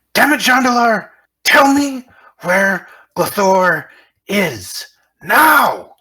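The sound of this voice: Using a put-on character voice at a fairly high pitch, the speaker moves at a very slow pace with long, frequent pauses.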